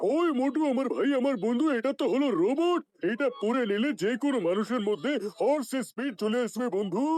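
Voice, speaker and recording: Putting on a character voice at an extremely high pitch, a man speaks at a moderate pace with lively intonation and very even loudness. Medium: fan dub. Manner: repeats "my brother, my friend".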